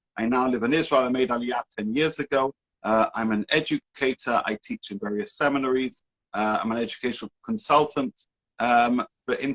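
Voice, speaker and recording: A man speaks with a British accent and lively intonation. The sound is dry and close, with no echo. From UK. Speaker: rabbi and educator. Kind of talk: interview.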